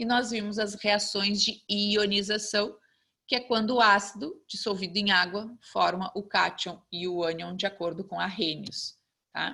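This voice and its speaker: The bright, sharp voice moves at a fairly slow pace with fairly even intonation. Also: woman, medium pitch for a woman. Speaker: chemistry teacher. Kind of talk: online lecture.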